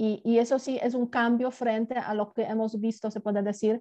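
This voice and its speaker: A woman with a Polish accent speaks at a moderate pace against a quiet background. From southern Poland, Gorlice. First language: Polish (speaking Spanish). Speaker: international relations professor and former ambassador. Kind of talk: interview.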